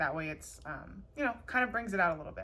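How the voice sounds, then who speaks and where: Bright and sharp in tone, a woman's medium-pitched voice moves with lively intonation. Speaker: YouTuber, craft tutorial creator. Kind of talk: tutorial. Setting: at home, on living room floor. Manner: animated.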